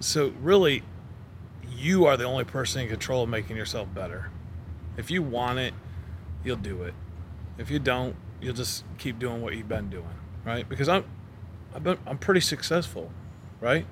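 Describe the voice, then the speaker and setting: A somewhat breathy man speaks at medium pitch and a moderate pace. His pitch swings very wide, with long, frequent pauses. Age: 40s. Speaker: sales manager. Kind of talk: casual chat.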